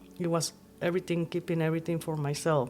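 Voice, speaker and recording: In a Nicaraguan accent, a woman speaks in a fairly low, monotone voice with flat intonation. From Nicaragua, Masaya. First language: Spanish. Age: 50s. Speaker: podcast guest. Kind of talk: casual chat.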